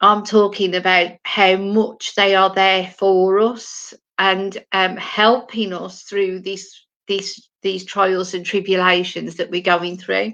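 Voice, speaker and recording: Bright and sharp in tone, a woman speaks at a medium pitch in a monotone, flat delivery at a very slow pace. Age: 60s. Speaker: spiritual medium. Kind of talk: live stream monologue. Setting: at home, live stream. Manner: halting, with many fillers.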